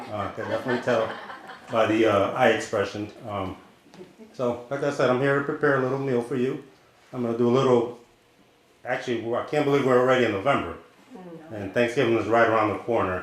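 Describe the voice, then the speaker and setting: A man with a medium-pitched voice talks at a very fast pace with fairly even intonation, broken by long, frequent pauses, against noticeable background noise and audible room echo. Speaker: chef. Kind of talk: cooking demonstration. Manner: loud.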